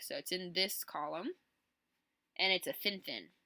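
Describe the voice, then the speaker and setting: The voice moves at a fairly quick pace. The sound is dry and close, with no echo. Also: woman. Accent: American. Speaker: calligraphy artist explaining designs. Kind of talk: tutorial. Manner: casual, thinking aloud.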